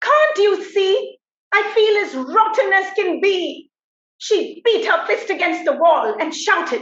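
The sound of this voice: Against a quiet background comes an unforced reading voice. Its pitch variation is ordinary.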